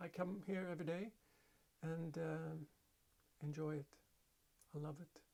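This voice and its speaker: With a Swedish accent, a man speaks at a fairly slow pace in a high, dark, mellow voice. His pitch variation is ordinary. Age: 50s. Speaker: hobby potter. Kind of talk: casual vlog monologue. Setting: home pottery studio. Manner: halting, many fillers.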